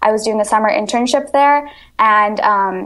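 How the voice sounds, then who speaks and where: A woman speaks at a fairly quick pace in a fairly high pitch, with ordinary pitch variation. It is an ordinary speaking voice. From US, Virginia, Indian-born parents. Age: young. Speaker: student activist. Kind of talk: interview.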